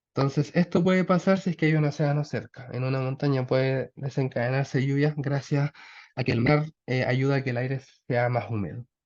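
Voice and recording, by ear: Speaking at a moderate pace and medium pitch, a man shows ordinary pitch variation and a slightly mellow tone.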